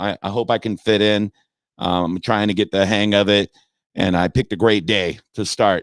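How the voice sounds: Putting on a character voice, a man sounds hoarse and fairly low, speaking at a moderate pace in a monotone, flat way, with a dry, close sound and no echo.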